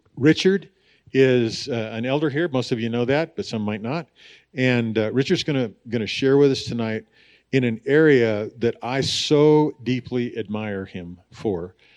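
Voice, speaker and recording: Fairly slow speech from a man at medium pitch, a normal speaking voice with ordinary pitch variation, against a quiet background. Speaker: pastor introducing speaker. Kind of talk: church announcements and introduction. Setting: church.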